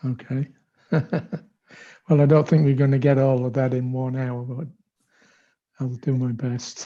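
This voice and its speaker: A man with a dark, mellow tone and medium pitch speaks at a moderate pace in a flat monotone, leaving long, frequent pauses. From England. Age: 70s. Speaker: senior monk and spiritual teacher. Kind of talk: talk to youth over video call.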